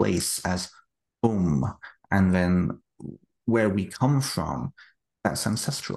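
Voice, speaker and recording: Very deep and low, a man's voice with vocal fry moves at a very slow pace. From United Kingdom. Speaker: author. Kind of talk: interview conversation. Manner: halting, repeats words.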